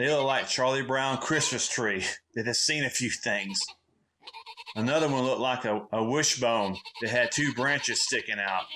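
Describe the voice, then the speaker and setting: In a Southern US accent, a man speaks at a moderate pace and medium pitch, with ordinary pitch variation and very even loudness. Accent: Southern American. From Southern United States. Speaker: comedic storyteller. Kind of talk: comedic monologue, casual story to camera.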